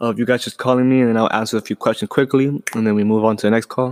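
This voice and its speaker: A man speaks in a monotone, flat intonation. The sound is dry and close, with no echo. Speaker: podcast host. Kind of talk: casual podcast monologue. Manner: halting, repetitive; fast.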